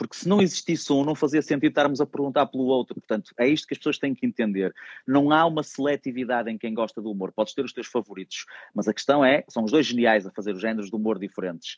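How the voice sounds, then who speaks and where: A medium-pitched man talks very fast with lively intonation against a quiet background. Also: dry, close sound with no echo. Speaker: stand-up comedian. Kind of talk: casual chat.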